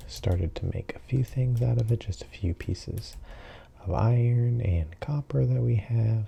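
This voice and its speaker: Calm, soft-spoken delivery at a fairly slow pace. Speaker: gaming sleep-content creator. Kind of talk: relaxed gameplay commentary for sleep. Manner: soft-spoken, calm, unhurried.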